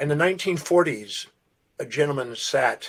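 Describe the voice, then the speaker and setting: Speaking at a fairly slow pace, a man with an American accent and a normal speaking voice has a fairly high pitch and ordinary pitch variation. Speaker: self-development speaker. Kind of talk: podcast interview storytelling.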